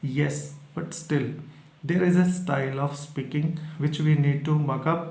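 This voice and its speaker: In a Punjabi accent, a man speaks with monotone, flat intonation at a fairly high pitch, somewhat breathy. Audible room echo surrounds his voice. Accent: Indian (Punjabi) English. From Punjab, India. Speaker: English exam teacher. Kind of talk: tutorial. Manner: halting, with filler pauses.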